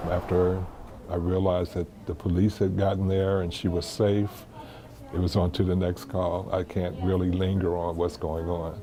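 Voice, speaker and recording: Over noticeable background noise, a man talks in a very deep, low pitch with monotone, flat intonation. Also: moderate pace. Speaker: 911 communications supervisor. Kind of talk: interview answer.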